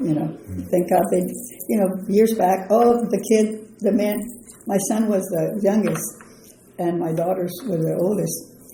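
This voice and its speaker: With an American accent, a woman talks at medium pitch and a fairly slow pace, with fairly even intonation. Noticeable background noise is present. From south Texas. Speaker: retired senior center member. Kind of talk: interview answer.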